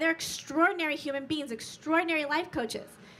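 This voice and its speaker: A woman talks at a very fast pace in a raised, projected voice with a high pitch. Her tone is animated, and her pitch variation is ordinary. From Sicily, Italy. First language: Italian. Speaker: life coach and motivational speaker. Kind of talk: motivational talk. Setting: stage with audience.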